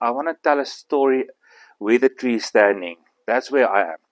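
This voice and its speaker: A man with an Afrikaans South African accent at a moderate pace, in a dry, close sound with no echo. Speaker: bonsai artist. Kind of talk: demonstration talk. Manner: halting.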